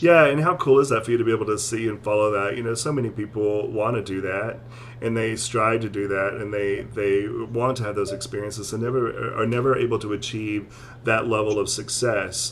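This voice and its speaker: With noticeable background noise, a man speaks at a fairly quick pace and with fairly even intonation. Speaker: talk show host and singer, mental health professional. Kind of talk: casual interview chat. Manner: repetitive, halting with fillers.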